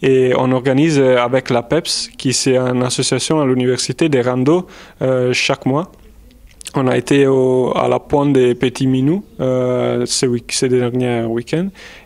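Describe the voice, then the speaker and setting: In an Italian accent, a man speaks fairly slowly at a medium pitch, with fairly even intonation and very even loudness. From Italy. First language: Italian (speaking French). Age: 20s. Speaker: volunteer at a university. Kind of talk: interview answers. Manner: halting, many hesitations.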